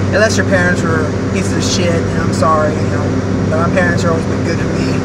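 Loud background noise surrounds a man as he talks. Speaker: vlogger. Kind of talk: casual vlog monologue. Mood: reflective, candid. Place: car. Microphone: phone near.

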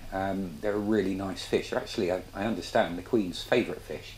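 Light background noise behind a man at a fairly quick pace. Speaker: fishing channel host. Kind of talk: casual cooking tutorial. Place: kitchen. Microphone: camera far.

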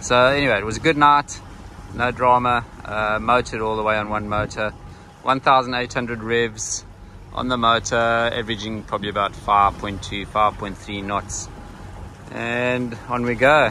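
A man talks at a moderate pace with fairly even intonation, the sound dry with no echo over light background noise. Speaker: sailor vlogger. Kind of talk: casual vlog chat. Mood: relaxed, mildly wry. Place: boat. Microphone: phone near.

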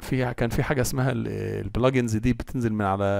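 A man with an Egyptian accent, medium in pitch, with ordinary pitch variation and a moderate pace. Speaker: tech tutorial maker. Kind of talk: tutorial. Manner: casual.

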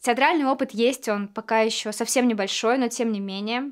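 A woman's fairly high voice with fairly even intonation, over a quiet background. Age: 20s. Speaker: actress. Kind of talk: actor showreel self-introduction. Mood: warm, calm, lightly playful. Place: studio.

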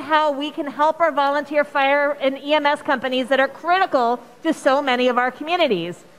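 At a moderate pace, a woman speaks in a high pitch with ordinary pitch variation. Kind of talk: floor speech. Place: hall. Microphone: podium.

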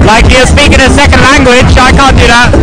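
Loud background noise competes with a man who speaks fairly quickly. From England. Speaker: interviewee, British visitor. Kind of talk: interview answer. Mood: friendly, encouraging. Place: street. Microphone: phone near.

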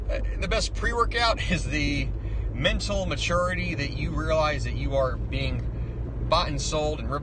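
A man speaks at a moderate pace with noticeable background noise and a dry sound with no echo. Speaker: fitness vlogger. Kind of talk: casual vlog rant. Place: car. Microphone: phone near.

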